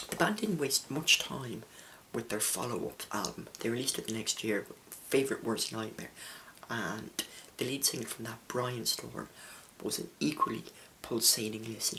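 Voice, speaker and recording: Soft-spoken, a man talks at medium pitch and a moderate pace with ordinary pitch variation. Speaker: music reviewer. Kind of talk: album review monologue. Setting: home recording late at night. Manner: quiet, soft-spoken.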